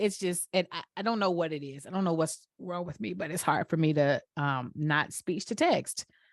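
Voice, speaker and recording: In a Southern US accent, a woman talks at a moderate pace with lively intonation. The background is quiet, and the sound is dry and close, with no echo. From Atlanta, Georgia. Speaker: podcast host. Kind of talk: casual chat.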